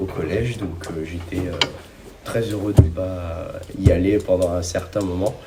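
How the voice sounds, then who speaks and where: Amid noticeable background noise and audible room echo, a man speaks very slowly in a very deep, low pitch with fairly even intonation. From northern France (Oise). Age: young. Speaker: podcast guest sharing covid experience. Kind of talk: testimony. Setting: in-person podcast recording. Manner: halting, many hesitations.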